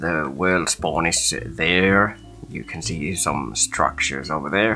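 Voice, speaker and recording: Music plays in the background. A man talks at a very slow pace, his pitch swinging very widely. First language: Finnish. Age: adult. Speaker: gaming video creator. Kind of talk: gameplay commentary. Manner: halting.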